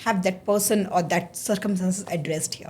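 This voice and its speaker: At a fairly quick pace, a woman speaks in a somewhat breathy voice. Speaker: podcast host. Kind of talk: interview. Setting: studio.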